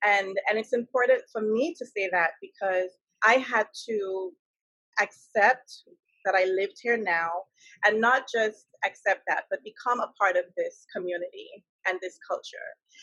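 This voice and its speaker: A woman with a West Indian accent speaks at a fairly slow pace with a fairly high pitch. Her tone is bright and sharp, the sound dry and close with no echo. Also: ordinary pitch variation. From West Indies. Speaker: talk show host. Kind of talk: interview.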